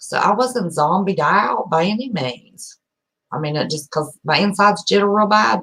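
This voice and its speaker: A loud woman speaks with an American accent in a bright, sharp tone with vocal fry. Her intonation is lively. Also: medium pitch for a woman, moderate pace. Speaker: YouTuber. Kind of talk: casual chat. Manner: animated.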